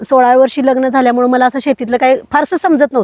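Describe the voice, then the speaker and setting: In a very clean recording with a silent background and a dry, close sound with no echo, a woman speaks at a high pitch. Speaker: organic farmer. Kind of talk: interview testimony. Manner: hesitant, many fillers.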